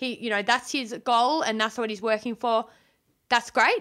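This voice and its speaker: With an Australian accent, a woman talks in a fairly high pitch and a bright, sharp tone on a very clean recording with a silent background. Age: 20s. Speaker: podcast guest. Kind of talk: casual chat. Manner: animated.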